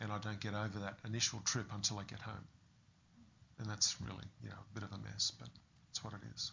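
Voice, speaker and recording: A man speaks at a very fast pace with an Australian accent and a fairly low pitch. His intonation is monotone and flat, with vocal fry. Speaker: fitness business owner with Parkinson's. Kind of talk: interview.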